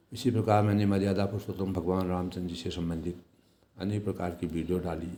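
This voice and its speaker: With a very deep, low pitch and a dark, mellow tone, a man speaks in a flat, monotone way. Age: 60s. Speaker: vlogger. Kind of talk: motivational vlog talk. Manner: formal.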